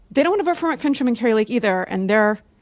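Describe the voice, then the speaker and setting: A woman's voice, an ordinary speaking voice with an American accent and lively intonation. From Arizona. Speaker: audience member. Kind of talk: audience question. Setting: conference room with audience.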